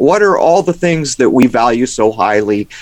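Using a plain, everyday voice, a man of medium pitch speaks at a moderate pace with lively intonation. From San Diego, California. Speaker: conspiracy researcher and video maker. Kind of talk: radio interview.

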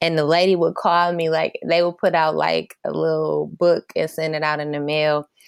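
A woman with an American accent speaks at a moderate pace, the sound dry and close with no echo. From Flint, Michigan. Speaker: fashion designer. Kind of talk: interview.

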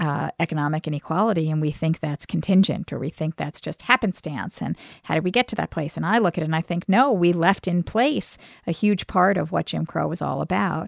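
A woman with an American accent and a fairly low pitch speaks at a fairly quick pace with lively intonation and vocal fry, recorded with a dry, close sound and no echo. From New York, Brooklyn. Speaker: law school dean, podcast co-host. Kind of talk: casual conversation. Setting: studio.

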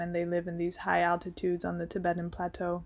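The woman's voice sits at a fairly low pitch. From Switzerland, Geneva. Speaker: fashion designer. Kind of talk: interview.

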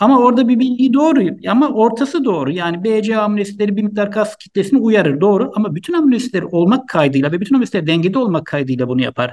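Very fast, a man speaks in a high pitch. His pitch swings are very wide. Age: 50s. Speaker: doctor. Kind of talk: interview. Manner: hesitant, many fillers.

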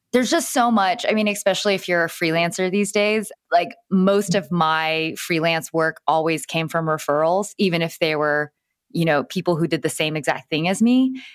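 In a very clean recording with a silent background, a woman with a plain, everyday voice and a fairly low pitch speaks at a moderate pace with ordinary pitch variation, very even loudness and hardly any pauses. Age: 30s. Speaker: Instagram expert and influencer. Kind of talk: casual interview chat.

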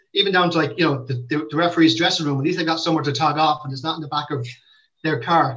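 Speaking very fast with a Limerick accent, a man has a bright, sharp tone, a fairly high pitch and fairly even intonation. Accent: Limerick Irish. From Ireland, Limerick. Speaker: football club manager. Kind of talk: interview. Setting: video call.

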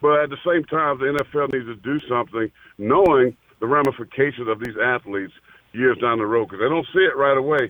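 At a fairly quick pace, a man with a normal speaking voice talks at a medium pitch. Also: ordinary pitch variation. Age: 50s. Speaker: former NFL player and pastor. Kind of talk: casual chat.

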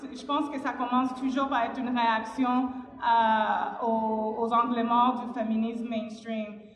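A woman speaks at a fairly slow pace in a fairly high pitch, her intonation flat and monotone, with noticeable background noise and audible room echo. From Cuba. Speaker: panelist, activist. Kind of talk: panel discussion.

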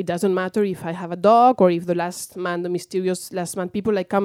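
A woman speaks with a Spanish accent at a fairly quick pace. Her medium-pitched voice has a dark, mellow tone and fairly even intonation. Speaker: author. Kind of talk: interview.

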